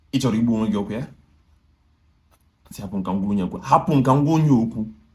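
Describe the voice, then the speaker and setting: A man speaks at a very fast pace in an angry tone, somewhat breathy. His pitch is medium and his intonation lively. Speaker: actor. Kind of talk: dramatic monologue. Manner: angry, confrontational.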